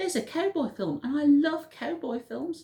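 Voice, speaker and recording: A female-sounding, high-pitched put-on character voice. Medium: read story.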